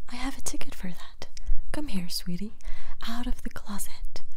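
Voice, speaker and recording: The speaker is soft-spoken and keeps a moderate pace over noticeable background noise. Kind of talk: poetry reading.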